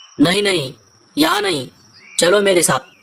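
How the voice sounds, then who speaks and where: This is a cartoonish character voice. It sits at a middle pitch. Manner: sly, sneering.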